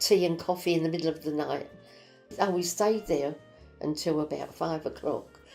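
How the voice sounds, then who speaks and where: The speaker uses ordinary pitch variation while music plays in the background. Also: woman. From East End London. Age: 80s+. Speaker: war survivor. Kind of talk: interview answer.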